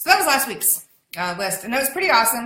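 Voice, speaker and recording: Loud and animated, a woman speaks at a fairly high pitch in a bright, sharp tone, with audible room echo. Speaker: online business community host. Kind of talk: live stream chat.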